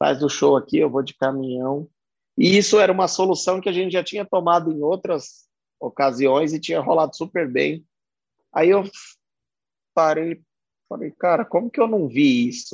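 In a quiet background with a dry, close sound and no echo, a man with a fairly high pitch speaks at a moderate pace, using ordinary pitch variation and long, frequent pauses. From São Paulo state, Brazil. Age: 40s. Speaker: concert production manager. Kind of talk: interview.

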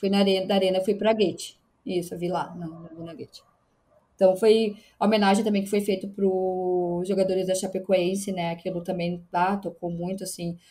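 A woman's dark, mellow, somewhat breathy voice in a southern Brazilian accent, monotone and flat, with big swings in loudness. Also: medium pitch for a woman, moderate pace. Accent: southern Brazilian (gaúcho) Portuguese. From interior of Rio Grande do Sul, Brazil (Erechim). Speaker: football fan. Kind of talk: casual chat.

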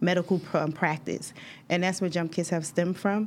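A woman with a New Jersey accent, fairly low-pitched and monotone with flat intonation, on a very clean recording with a silent background. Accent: New Jersey American English. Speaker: youth fitness organization founder. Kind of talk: casual chat.

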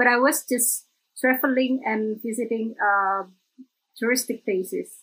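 A woman with an Indonesian accent, high pitch, ordinary pitch variation, a fairly slow pace and long, frequent pauses. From Sumatra, Indonesia. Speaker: content creator and former journalist. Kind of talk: casual interview. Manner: hesitant, many fillers.

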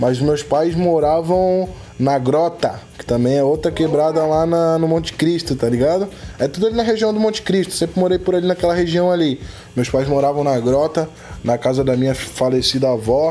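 A man speaks with an unremarkable speaking voice at a moderate pace. His pitch is fairly high with ordinary variation, and his loudness stays very even. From Florianópolis, Brazil. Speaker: podcast host. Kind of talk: casual chat.

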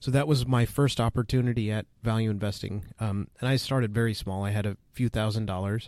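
A man's normal speaking voice with fairly even intonation, in a very clean recording against a silent background. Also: medium pitch for a man, hardly any pauses. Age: 30s. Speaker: value investing podcast co-host. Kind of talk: casual chat.

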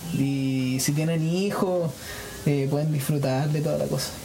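A man with a Chilean accent speaks at a moderate pace in a fairly high pitch, with noticeable background noise. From Chile, Temuco. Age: 20s. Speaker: podcast co-host. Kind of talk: casual chat.

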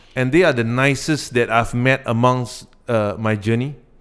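The speaker is a man with a Singaporean accent. He goes at a moderate pace. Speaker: podcast co-host. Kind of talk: casual chat.

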